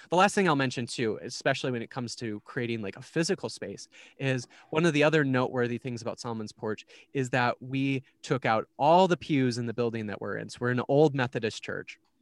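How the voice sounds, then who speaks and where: A man with an Upper Midwest accent talks at a fairly quick pace and medium pitch, with ordinary pitch variation and big swings in loudness. The sound is dry and close with no echo, and the background is silent in a very clean recording. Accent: Upper Midwest American. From Minnesota. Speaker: church community organizer. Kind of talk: casual interview.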